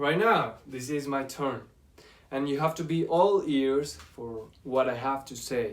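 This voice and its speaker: A man with a Spanish accent talks at a fairly slow pace and fairly high pitch, showing ordinary pitch variation and big swings in loudness amid audible room echo. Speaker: university language student. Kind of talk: class presentation. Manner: halting.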